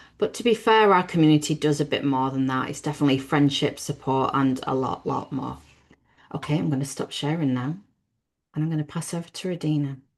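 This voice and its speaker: In a British accent, a woman talks at a fairly quick pace with a very deep, low pitch. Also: ordinary pitch variation. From Britain. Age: 50s. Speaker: business networking host. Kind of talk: webinar presentation.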